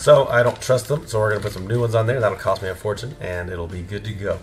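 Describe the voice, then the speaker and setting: A man puts on a raspy character voice, fairly low in pitch, at a very fast pace. Clear background noise runs beneath him. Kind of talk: casual vlog chat.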